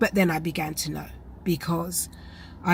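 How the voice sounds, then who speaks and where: A British-accented woman has a fairly low pitch and vocal fry. Her intonation stays fairly even. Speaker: vlogger with chronic illness. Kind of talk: personal health vlog.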